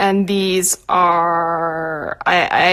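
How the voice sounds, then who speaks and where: A woman's voice comes through in a very clean recording against a silent background. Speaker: artist. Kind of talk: painting livestream. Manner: soft-spoken.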